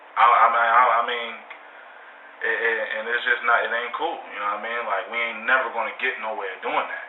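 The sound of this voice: A man with an American accent, medium pitch, little pitch movement, a fairly quick pace and audible room echo.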